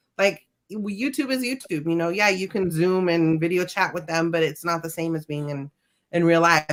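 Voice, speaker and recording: A woman's fairly low voice at a moderate pace. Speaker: guest vlogger. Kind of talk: casual chat. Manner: loud.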